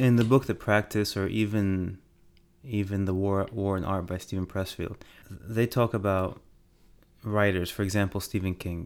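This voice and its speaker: A normal speaking voice moves at a moderate speed, its intonation fairly even. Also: man, fairly low pitch for a man. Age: 40s. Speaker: podcast co-host, father. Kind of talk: casual chat.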